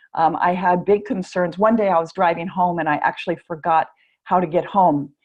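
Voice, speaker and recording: The pace is fairly quick and the tone enthusiastic. Loudness stays very even throughout. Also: woman, fairly low pitch for a woman. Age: 60s. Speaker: wellness product sales presenter. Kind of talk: sales presentation.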